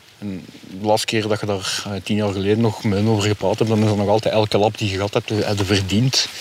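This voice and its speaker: Over noticeable background noise, a man with a fairly low pitch talks very fast in a flat monotone. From Germany, Belgian military community (Flemish family). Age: 40s. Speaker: interviewee with a criminal past. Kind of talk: interview. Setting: outdoors on a snowy dog meadow.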